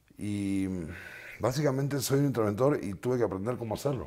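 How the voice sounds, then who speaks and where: A man at a very fast pace with ordinary pitch variation. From Argentina. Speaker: musician; guest. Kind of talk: interview. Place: studio. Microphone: lapel.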